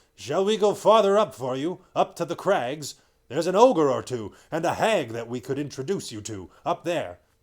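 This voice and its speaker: Someone uses a put-on character voice, keeping the delivery at a moderate pace. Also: man, fairly high pitch for a man. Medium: read story. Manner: gruff, grudging.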